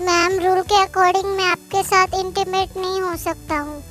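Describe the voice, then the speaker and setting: With clear music in the background, a woman performs a put-on character voice at a moderate pace. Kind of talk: Hindi fan-dub story. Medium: read story. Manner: polite, literal.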